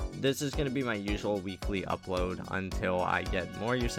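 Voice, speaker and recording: The pace is fairly quick. A man speaks with music in the background. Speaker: horror channel host. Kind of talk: casual voiceover introducing channel.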